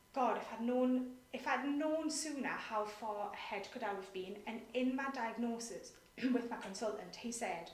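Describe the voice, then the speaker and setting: In a room with audible echo and noticeable background noise, a woman with a British accent speaks with ordinary pitch variation. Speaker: nonprofit director. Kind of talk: interview. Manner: fast.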